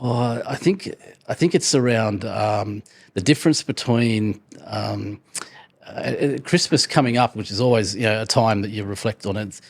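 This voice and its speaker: At a moderate pace, a man speaks with vocal fry, a medium pitch and ordinary pitch variation. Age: 60s. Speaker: entrepreneur and business author. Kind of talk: interview. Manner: halting, many fillers and repetitions.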